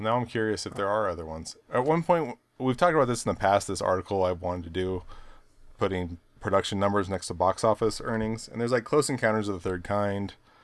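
Fairly low in pitch, a man's voice moves at a very fast pace. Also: ordinary pitch variation. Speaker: podcast host. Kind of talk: casual banter podcast chat.

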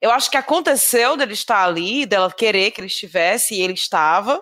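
Her voice is bright and sharp, with very wide pitch swings at a moderate pace. The recording is very clean, with a silent background. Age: 30s. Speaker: podcast guest, film fan. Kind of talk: casual chat.

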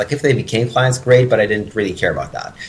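The man's voice is somewhat breathy, medium in pitch, with ordinary pitch variation. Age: 20s. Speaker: personal training business owner and author. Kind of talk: interview.

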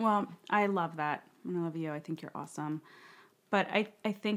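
A woman with a normal speaking voice and a fairly low pitch talks at a moderate pace with fairly even intonation, on a very clean recording with a silent background. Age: 30s. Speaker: women's community founder. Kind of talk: casual interview.

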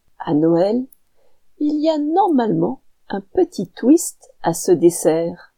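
Recorded very cleanly against a silent background, a woman speaks at a very slow pace. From France, mountain region. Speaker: podcast host. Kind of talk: scripted narration.

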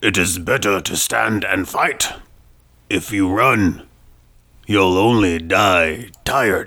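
Using a put-on character voice, a man speaks very slowly in a very deep, low pitch, with long, frequent pauses. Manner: tough, defiant.

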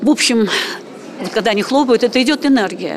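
There is noticeable background noise behind a woman's voice. She speaks at a fairly high pitch with ordinary pitch variation. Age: 70s. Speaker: writer and amateur singer. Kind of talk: interview.

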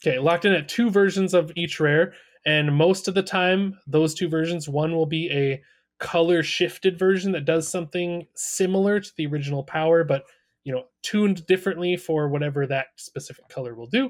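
On a very clean recording with a silent background, a man talks at a fairly quick pace with a high pitch and ordinary pitch variation. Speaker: podcast co-host. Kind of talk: casual podcast discussion.

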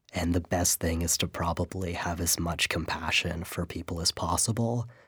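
A man with an American accent speaks at a moderate pace in a very deep, low, somewhat breathy voice. His intonation is fairly even, and the recording is very clean with a silent background. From San Francisco Bay Area, US. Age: 20s. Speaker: writer. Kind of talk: interview. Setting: studio.

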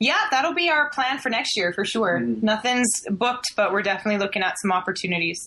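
A woman speaks very fast with hardly any pauses, her pitch fairly high and her intonation lively. Her loudness stays very even over noticeable background noise. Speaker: band member. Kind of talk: casual interview.

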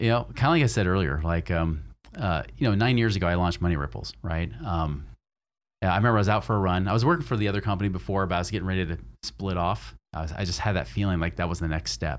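Very fast and with lively intonation, a man speaks in a very deep, low voice marked by vocal fry. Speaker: financial advisor and podcast host. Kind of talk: interview.

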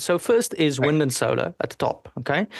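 Against a quiet background, a man with a South African accent talks at a fairly quick pace with ordinary pitch variation. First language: Afrikaans. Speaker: energy analyst and engineer. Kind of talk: casual interview.

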